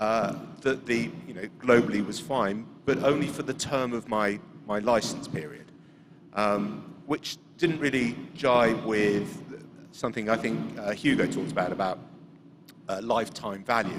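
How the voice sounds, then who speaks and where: Fairly slow pace amid noticeable background noise. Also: man, fairly low pitch for a man, ordinary pitch variation. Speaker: audience member asking a question. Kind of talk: audience question. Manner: loud.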